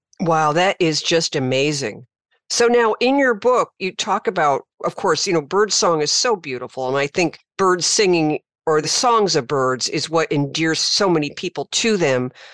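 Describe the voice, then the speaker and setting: Over a quiet background, a woman with a fairly low pitch speaks at a moderate pace, her pitch swinging very widely. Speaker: podcast host and wildlife rehabilitator. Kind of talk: interview.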